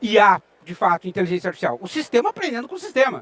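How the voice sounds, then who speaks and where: In a southern Brazilian accent, a man speaks at a fairly quick pace with lively intonation. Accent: southern Brazilian (gaúcho). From Rio Grande do Sul, southern Brazil. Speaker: IT researcher and lecturer. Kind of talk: conference talk. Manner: conversational, with frequent filler sounds.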